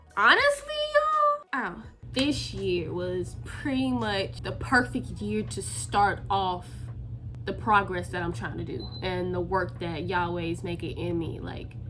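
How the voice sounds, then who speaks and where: A woman's fairly slow speech with audible room echo. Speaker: vlogger. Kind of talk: personal vlog.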